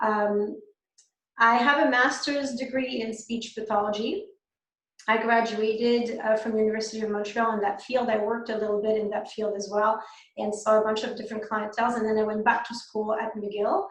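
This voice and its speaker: Audible room echo surrounds a speaker with a French Canadian accent. The pace is moderate and the intonation monotone and flat. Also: woman, fairly high pitch for a woman. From Quebec. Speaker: dentist. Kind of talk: webinar lecture. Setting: online webinar. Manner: hesitant, many fillers.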